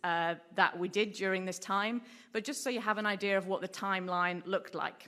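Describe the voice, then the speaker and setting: A woman with an English accent speaks at a medium pitch in a bright, sharp tone on a very clean recording with a silent background. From England. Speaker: marine researcher. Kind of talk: conference talk. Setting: stage with audience.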